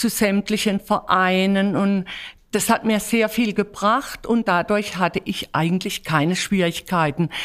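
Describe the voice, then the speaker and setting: A woman speaks with an unremarkable speaking voice at a medium pitch and a fairly slow pace. Her intonation is fairly even, and the recording is very clean with a silent background. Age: 60s. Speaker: carnival guild leader. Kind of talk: interview.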